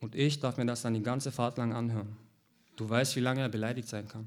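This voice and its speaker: A man's medium-pitched, monotone, flat delivery at a very fast pace, in a very clean recording with a silent background. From Heilbronn, southwest Germany. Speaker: author. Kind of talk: reading aloud.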